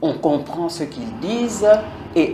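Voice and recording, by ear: Lively intonation and a dark, mellow tone come at a moderate pace, with audible room echo. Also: woman.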